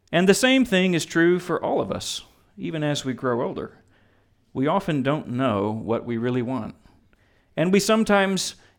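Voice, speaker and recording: A man at a moderate pace with very wide pitch swings, in a very clean recording with a silent background. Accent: American. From Texas. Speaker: pastor officiating a wedding. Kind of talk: wedding sermon. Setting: wedding ceremony with guests.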